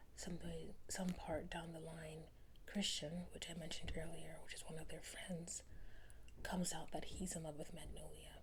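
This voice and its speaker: Whispering at a moderate pace, a woman is soft-spoken. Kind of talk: casual talk to camera, book review ramble. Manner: soft-spoken, whispering.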